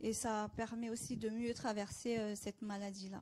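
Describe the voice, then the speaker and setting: At a moderate pace, a woman speaks with a fairly high pitch, a dark, mellow tone, a somewhat breathy quality and fairly even intonation. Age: 30s. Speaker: cancer patient. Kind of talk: testimony.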